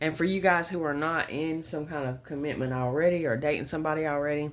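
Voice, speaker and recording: Talking at a very fast pace, a woman uses a very deep, low voice with fairly even intonation. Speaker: tarot reader. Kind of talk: tarot reading monologue. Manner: casual, conversational; stuttering at times.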